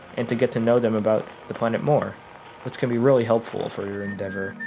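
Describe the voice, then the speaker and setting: A man speaks with music in the background. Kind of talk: video essay narration.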